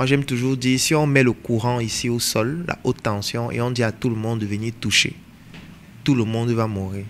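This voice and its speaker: Fairly even in intonation, a man talks at a moderate pace and a medium pitch. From Cameroon. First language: African mother tongue (speaking French). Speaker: entrepreneur and coach. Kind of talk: interview discussion.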